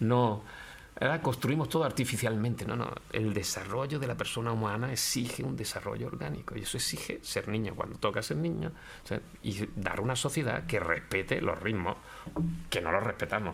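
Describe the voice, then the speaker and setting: A normal speaking voice with lively intonation moves at a fairly quick pace. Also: man, fairly low pitch for a man. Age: 60s. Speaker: philosophy professor. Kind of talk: interview conversation. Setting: law office.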